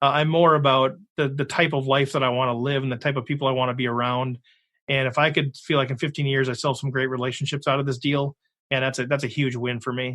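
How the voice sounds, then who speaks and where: With an American accent, a man speaks very fast at medium pitch in a monotone, flat intonation. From Minnesota. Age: 50s. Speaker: poker podcast host. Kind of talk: interview.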